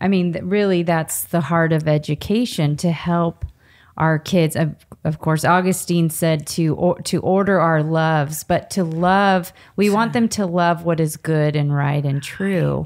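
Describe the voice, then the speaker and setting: A fairly slow pace with fairly even intonation and very even loudness over a quiet background. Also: woman. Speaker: podcast co-host. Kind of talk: casual interview. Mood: earnest, warm. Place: home room. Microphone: studio mic.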